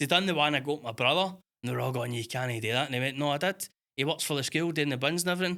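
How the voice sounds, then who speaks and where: A man in a Scottish accent, fairly high-pitched, bright and sharp in tone, at a very fast pace with ordinary pitch variation, in a very clean recording with a silent background. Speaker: podcast co-host. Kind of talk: casual chat. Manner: animated.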